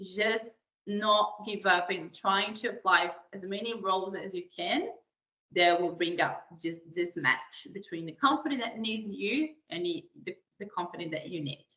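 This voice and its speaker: A woman with a Portuguese accent speaks at a fairly slow pace in a medium pitch, her intonation lively and her loudness swinging widely. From Brazil. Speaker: career advisor. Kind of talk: webinar presentation. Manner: hesitant, many fillers.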